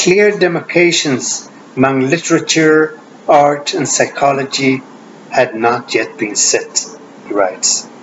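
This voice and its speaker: With noticeable background noise behind him, a man with a fairly high pitch talks at a fairly slow pace and with lively intonation. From Sweden. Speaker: Jungian analyst and author. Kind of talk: lecture with reading aloud. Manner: formal.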